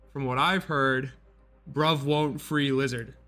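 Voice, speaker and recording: A man with a Midwestern accent speaks at a moderate pace in a fairly high pitch, his tone bright and sharp. The recording is very clean with a silent background. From US Midwest. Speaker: esports commentator. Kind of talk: live commentary. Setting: livestream broadcast. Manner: casual, conversational.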